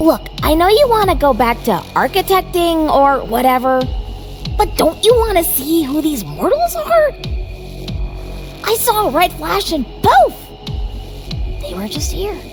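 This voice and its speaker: Clear music plays in the background behind a cartoonish character voice with an extremely high pitch. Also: moderate pace. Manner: hushed, bickering.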